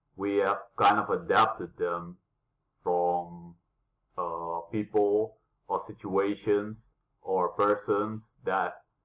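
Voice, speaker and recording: Music plays in the background as a man speaks at a very slow pace. His pitch sits fairly low. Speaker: vlogger. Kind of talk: casual vlog talk. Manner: halting, many fillers.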